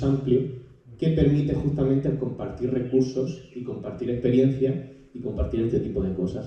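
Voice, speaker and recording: Heard with audible room echo and noticeable background noise, a man speaks at a medium pitch in a Murcian accent. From Spain, Murcia. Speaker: audience member, young climate activist and law student. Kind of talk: audience question in public debate. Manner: halting, many repetitions.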